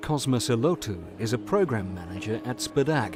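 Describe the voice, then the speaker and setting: Music plays behind a man who speaks at a moderate pace and medium pitch, his intonation varying by ordinary amounts. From England. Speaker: voice actor. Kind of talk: documentary narration.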